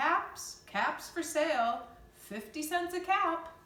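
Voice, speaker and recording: A woman's put-on character voice, extremely high-pitched and very slow, with lively intonation and a slight echo. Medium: read story.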